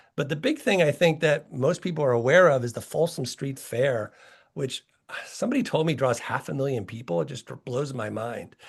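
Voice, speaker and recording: A man speaks at a fairly high pitch with ordinary pitch variation. His voice is somewhat breathy over a quiet background. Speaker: heritage organization president. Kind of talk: online presentation. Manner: fast; conversational.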